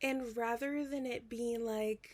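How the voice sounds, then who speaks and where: A female speaker at a very slow pace. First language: not English. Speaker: book vlogger. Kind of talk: casual chat. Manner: rambling with many fillers.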